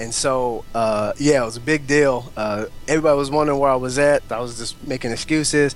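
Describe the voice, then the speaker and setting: Music plays behind a man with an American accent. He speaks at a moderate pace, medium in pitch, with ordinary pitch variation. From Oklahoma. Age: 20s. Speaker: entrepreneur. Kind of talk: interview conversation. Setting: Skype call.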